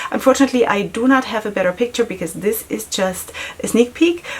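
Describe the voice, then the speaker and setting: A speaker with a non-native accent sounds animated, with lively intonation. Noticeable background noise can be heard. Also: woman. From Germany. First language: not English. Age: 40s. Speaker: beauty vlogger and makeup artist. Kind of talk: casual product review vlog. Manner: chatty, animated.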